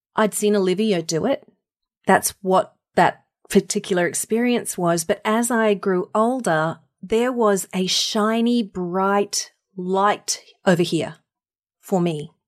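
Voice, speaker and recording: A woman with an Australian accent at a very slow pace, over a quiet background. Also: medium pitch for a woman, ordinary pitch variation. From Australia, North Queensland. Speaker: voice actor and speaker. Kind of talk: interview.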